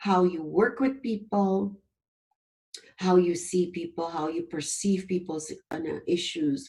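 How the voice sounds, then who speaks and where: A somewhat breathy woman's voice with a dark, mellow tone and lively intonation. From Suriname. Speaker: professor. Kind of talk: webinar presentation.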